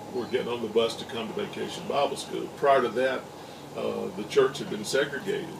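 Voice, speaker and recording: With an Alabama accent, a man speaks at a moderate pace. The room echo is audible, and there is noticeable background noise. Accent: Southern US (Alabama). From US South, Alabama (small town east of Montgomery). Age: 60s. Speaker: interviewee recalling segregation era. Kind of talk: interview testimony. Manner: halting, many fillers.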